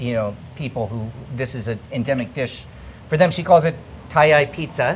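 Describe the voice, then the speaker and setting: A man talks at a medium pitch. Noticeable background noise can be heard. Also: ordinary pitch variation. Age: 40s. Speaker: food travel vlogger and chef. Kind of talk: casual food vlog presenting. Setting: restaurant in northern Thailand. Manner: fast; animated.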